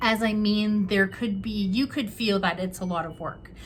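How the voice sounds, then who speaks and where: Her voice somewhat breathy, a woman talks at a medium pitch. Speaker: tarot reader. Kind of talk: tarot reading to camera. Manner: halting, many fillers.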